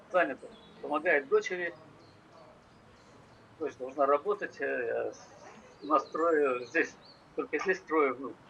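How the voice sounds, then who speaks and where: A man speaks very slowly, pausing often and at length, with noticeable noise in the background. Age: 70s. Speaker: hemodialysis patient. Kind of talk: interview answer. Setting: phone line.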